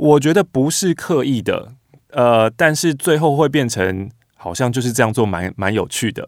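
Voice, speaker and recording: On a very clean recording with a silent background, a man with an unremarkable speaking voice talks at a moderate pace and medium pitch, his intonation lively. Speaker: radio host. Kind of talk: interview conversation.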